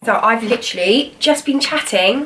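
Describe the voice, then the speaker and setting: A woman with a British accent speaks at a high pitch and a fairly slow pace, her intonation lively. Background noise is noticeable. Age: 20s. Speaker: cancer survivor. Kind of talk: casual talk to camera.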